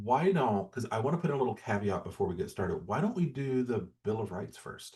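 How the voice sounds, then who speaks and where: Speaking at a fairly quick pace with an American accent, a man with a dark, mellow tone and a somewhat breathy quality makes very wide pitch swings. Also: medium pitch for a man. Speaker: podcast co-host. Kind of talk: casual chat.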